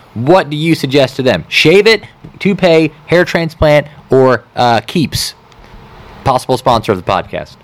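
A man with a fairly high voice speaks fairly slowly, with lively intonation. His loudness is very even, and background noise is noticeable. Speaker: podcast host. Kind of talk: casual chat.

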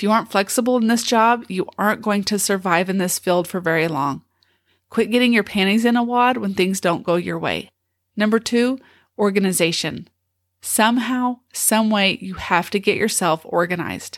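A woman with a normal speaking voice talks at a moderate pace and medium pitch with ordinary pitch variation, recorded very cleanly with a silent background. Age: 50s. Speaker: special education teacher and podcast host. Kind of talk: solo podcast monologue, tips list. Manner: casual, conversational.

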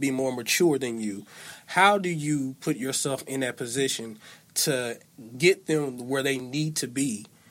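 Here is a man with ordinary pitch variation and a normal speaking voice. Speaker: guest, father. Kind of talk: casual chat.

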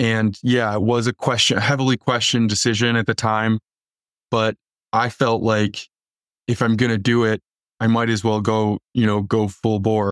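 At a moderate pace, a man speaks at a medium pitch in a monotone, flat delivery with very even loudness, recorded very cleanly against a silent background. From US Midwest, northern Illinois. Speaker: Marine combat veteran, veterans nonprofit manager. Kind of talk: interview.

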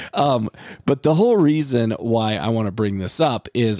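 Here is a man with a plain, everyday voice and lively intonation, talking at a fairly slow pace. The recording is very clean, with a silent background. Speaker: podcast co-host. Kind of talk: casual chat.

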